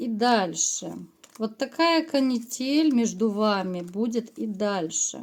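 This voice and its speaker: A woman speaks with very wide pitch swings. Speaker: tarot reader. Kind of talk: tarot reading to camera. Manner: hesitant, many filler sounds.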